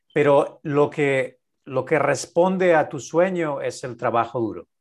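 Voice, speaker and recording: His pitch moves up and down in an ordinary way. This man's voice is fairly high. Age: 50s. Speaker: business coach and podcast co-host. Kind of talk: casual interview chat.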